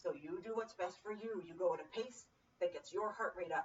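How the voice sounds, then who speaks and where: A woman with a medium pitch speaks loudly at a moderate pace, her upbeat tone swinging very widely in pitch. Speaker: personal trainer. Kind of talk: fitness class instruction. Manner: speaking loudly; encouraging, upbeat.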